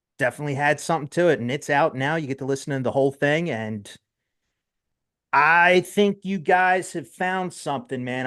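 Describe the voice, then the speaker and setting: This man's voice sits fairly high, with ordinary pitch variation. He talks at a fairly quick pace against a quiet background. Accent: strong New Jersey. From South Jersey, US. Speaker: metal podcast host. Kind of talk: casual interview chat. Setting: live internet radio show. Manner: casual, halting with fillers.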